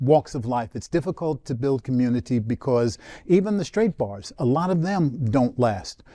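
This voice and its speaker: A man with an American accent, medium in pitch, dark and mellow in tone, with very wide pitch swings at a fairly slow pace, in a dry, close sound with no echo and a quiet background. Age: 70s. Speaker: church panelist on talk show. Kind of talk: casual panel chat. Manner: halting, many fillers.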